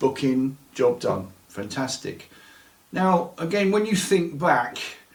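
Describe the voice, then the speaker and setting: A man speaks very slowly in a fairly high voice with lively intonation. Noticeable background noise runs underneath. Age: 60s. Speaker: storyteller of paranormal experiences. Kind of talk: interview testimony.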